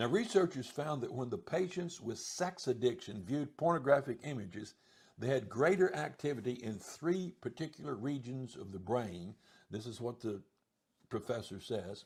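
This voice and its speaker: Somewhat breathy, a man speaks at a moderate pace and medium pitch with lively intonation. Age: 70s. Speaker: Bible teacher answering viewer questions. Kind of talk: Q&A talk answering a viewer's question. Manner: halting, with fillers and restarts.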